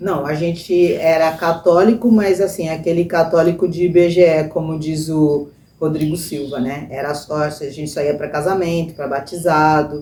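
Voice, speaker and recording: A woman's very deep, low voice at a moderate pace, fairly even in intonation, with hardly any pauses, audible room echo and noticeable background noise. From Brazil, São Paulo state (Baixada Santista from age 7). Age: 60s. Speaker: church member giving testimony, nursing technician. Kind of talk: testimony. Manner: hesitant, many fillers.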